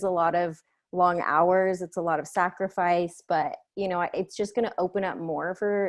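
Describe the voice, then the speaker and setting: A woman's ordinary speaking voice at medium pitch against a quiet background; an ordinary speaking voice. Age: 30s. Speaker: filmmaker. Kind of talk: panel Q&A interview. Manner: casual, many fillers.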